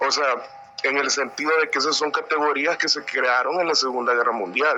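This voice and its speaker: A man has an unremarkable speaking voice with a fairly high pitch. He talks at a moderate pace with fairly even intonation. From El Salvador, San Miguel. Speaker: audience participant. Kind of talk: opinion comment.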